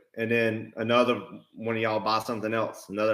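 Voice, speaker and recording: A man talks fairly quickly with an Alabama accent. His voice is fairly low-pitched with a bright, sharp tone. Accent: Southern (Alabama). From US South, Alabama (Mobile). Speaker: real estate investor and livestream co-host. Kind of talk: live stream Q&A. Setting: livestream.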